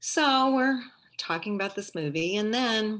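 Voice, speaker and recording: Lively intonation marks this woman's speech in a Midwestern American accent. Her tone is bright and sharp, and the background is quiet. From St. Louis, Missouri. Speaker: retired teacher and librarian, storyteller. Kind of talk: live personal storytelling performance. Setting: video call.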